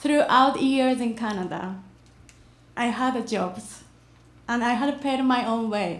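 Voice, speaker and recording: Speaking at a very slow pace with a Japanese accent, the voice leaves long, frequent pauses and shows ordinary pitch variation. Audible room echo surrounds it. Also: woman, high pitch for a woman. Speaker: immigrant storyteller. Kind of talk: reading aloud.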